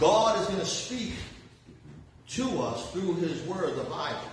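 A high-pitched man speaks with big pitch swings amid strong room echo. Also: fairly slow pace.

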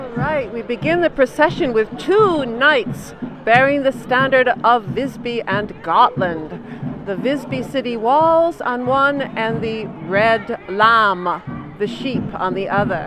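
Noticeable background noise sits under a dry sound with no echo. A woman with a fairly high pitch and lively intonation talks at a very slow pace. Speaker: narrator of parade video. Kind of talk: narration of a live event, casual talk to camera. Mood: cheerful, informative. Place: street. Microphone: handheld.

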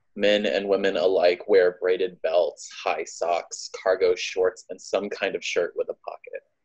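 The surroundings are quiet. A man delivers his words at a fairly slow pace. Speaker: poet. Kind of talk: spoken word poetry performance, imaginative, emotional, rhythmic. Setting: live poetry reading. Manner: animated, rhythmic, cadenced; heartfelt, wry, building emotionally. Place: home room. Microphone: phone near.

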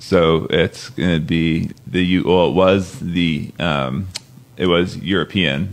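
Very slow speech in an American accent, with vocal fry and ordinary pitch variation. The loudness stays very even. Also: man, very deep, low pitch for a man. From US West Coast, San Luis Obispo County, California. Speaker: real estate buyer's agent. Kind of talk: casual interview chat.

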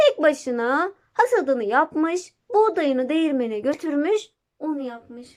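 Fairly slow and lively in intonation, a woman speaks with a high pitch and a slightly mellow tone.

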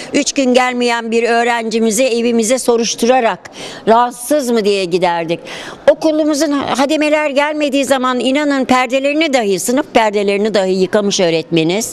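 A woman's high-pitched voice, lively in intonation and very even in loudness, at a moderate pace. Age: 70s. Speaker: retired teacher. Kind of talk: interview statement. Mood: earnest, heartfelt. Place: hall. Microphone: handheld.

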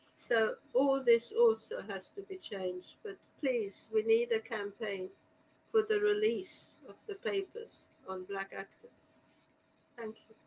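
With long, frequent pauses, a woman speaks at a very slow pace and fairly high pitch, her intonation lively and loudness swinging widely over light background noise. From Hungary, Budapest, then Australia. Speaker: historian and author; panelist. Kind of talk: panel discussion. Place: home room. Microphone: video call.

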